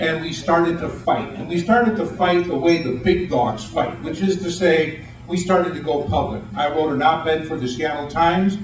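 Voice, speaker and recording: At a moderate pace with hardly any pauses, a man talks at a fairly high pitch with ordinary pitch variation, amid noticeable background noise and audible room echo. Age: 60s. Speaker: writer and rail advocate. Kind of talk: speech to an audience. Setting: meeting room with audience. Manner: animated.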